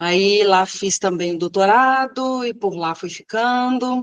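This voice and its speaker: A woman talks at a very slow pace, the sound dry and close with no echo. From Minas Gerais, Brazil. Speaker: civil engineer and professor. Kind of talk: interview. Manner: hesitant fillers.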